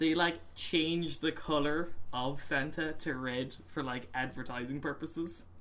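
In an Irish accent, a man with a bright, sharp tone and fairly high pitch speaks at a fairly slow pace with hardly any pauses and fairly even intonation. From Ireland. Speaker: podcast co-host. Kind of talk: casual chat.

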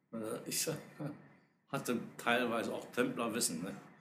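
With audible room echo around him, a man speaks fairly slowly at a medium pitch in a bright, sharp tone. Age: old. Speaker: esoteric order leader. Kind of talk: casual chat.

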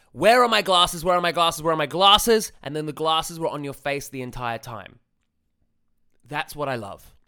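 A man speaks at a fairly high pitch with lively intonation and an animated, intense tone. His tone is bright and sharp, and the recording is very clean with a silent background. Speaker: dating coach podcaster. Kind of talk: angry rant, swearing, emphatic lecture-style coaching. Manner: animated, intense, emphatic.

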